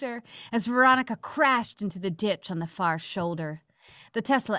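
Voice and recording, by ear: Lively intonation carries the speaker, who is reading aloud in a natural voice.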